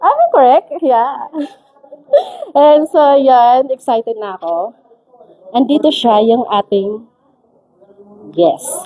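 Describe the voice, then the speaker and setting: Speaking at a very slow pace with long, frequent pauses, a woman uses a high pitch with very wide pitch swings. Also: dry, close sound with no echo. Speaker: livestream host. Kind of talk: casual live stream chat. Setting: live stream.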